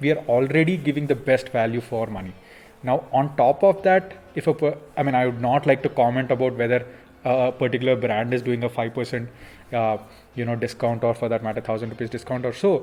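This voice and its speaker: A man's medium-pitched voice with a Telugu accent, at a fairly quick pace with ordinary pitch variation. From India, Andhra Pradesh (near Vijayawada). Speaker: smartphone company executive. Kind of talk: Q&A interview. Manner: hesitant, many fillers.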